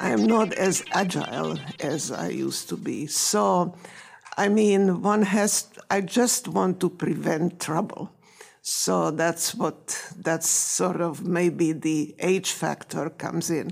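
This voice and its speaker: Vocal fry marks a woman's fairly low voice. She speaks at a very slow pace with ordinary pitch variation. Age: 80s. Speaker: engineering professor. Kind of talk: press conference remarks. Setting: press conference.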